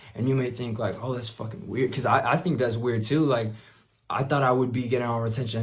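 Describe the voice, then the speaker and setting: There is audible room echo around a man's somewhat breathy voice. He speaks at medium pitch with fairly even intonation. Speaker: self-improvement vlogger and musician. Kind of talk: casual monologue.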